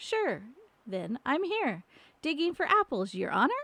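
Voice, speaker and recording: A woman puts on a character voice pitched high, with very wide pitch swings. She speaks at a moderate pace. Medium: read story.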